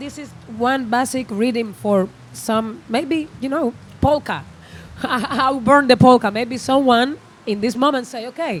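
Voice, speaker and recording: A high-pitched woman with a Spanish accent speaks at a fairly slow pace, with ordinary pitch variation and big swings in loudness. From Cuba. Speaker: musician. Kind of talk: interview. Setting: festival interview area. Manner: halting.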